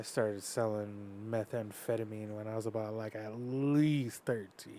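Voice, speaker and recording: Fairly low and with a dark, mellow tone, a man's voice keeps fairly even intonation at a moderate pace. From US, Northern Cheyenne reservation, Montana. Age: 20s. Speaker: mixed martial arts fighter. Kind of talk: casual chat.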